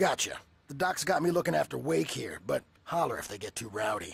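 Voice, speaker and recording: A man performs a raspy, put-on character voice at fairly high pitch. He moves at a fairly quick pace with big swings in loudness. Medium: video game. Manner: casual, friendly.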